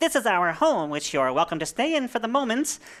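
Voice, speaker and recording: In a put-on character voice, a female-sounding speaker goes at a fairly quick pace with a fairly high pitch and very wide pitch swings. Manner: greeting travelers politely.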